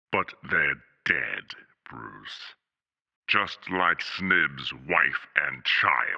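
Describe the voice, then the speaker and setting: Talking at a very slow pace, a man leaves long, frequent pauses while his loudness swings widely. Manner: sneering, taunting.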